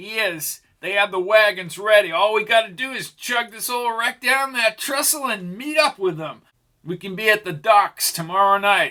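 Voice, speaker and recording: A man performs a put-on character voice pitched high. He keeps a moderate pace. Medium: read story. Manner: excitable, coarse.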